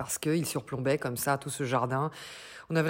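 At a moderate pace, a woman speaks with a very deep, low pitch. Her intonation stays fairly even. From Slovenia. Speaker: music industry worker, podcaster. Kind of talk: recorded voice message anecdote. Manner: spontaneous; halting, repeats words.

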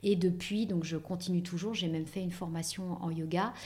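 Somewhat breathy with a dark, mellow tone, a woman speaks at a moderate pace in a medium pitch with fairly even intonation. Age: 40s. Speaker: beauty industry professional. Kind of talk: interview.

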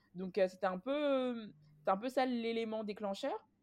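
The recording is very clean and the background is silent. A woman talks in a fairly high voice. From France, Paris suburbs (Clichy-sous-Bois). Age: 20s. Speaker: association director and local politician. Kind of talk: interview. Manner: hesitant, many fillers.

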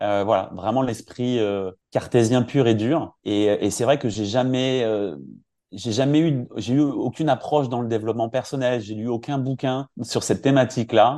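Against a quiet background, a man speaks in a dark, mellow tone at a medium pitch. His pace is fairly slow and his intonation fairly even. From France, Brittany (Finistère). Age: 40s. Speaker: career coach. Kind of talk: interview. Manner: halting, many hesitations.

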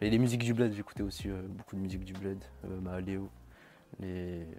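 At a moderate pace broken by long, frequent pauses, a man speaks with a fairly low pitch, fairly even intonation and big swings in loudness. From Madagascar. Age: young. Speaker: R&B singer. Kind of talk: interview. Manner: casual.

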